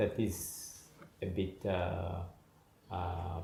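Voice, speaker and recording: Audible room echo surrounds this man's voice. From Madagascar. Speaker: migrant father, mining officer. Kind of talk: interview. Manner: halting, with fillers.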